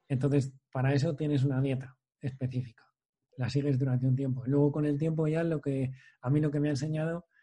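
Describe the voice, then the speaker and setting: A man's fairly high, somewhat breathy voice, dark and mellow in tone, flat and monotone in intonation. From Spain, Valladolid province. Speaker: podcast host, patient with muscular dystrophy. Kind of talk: casual interview conversation.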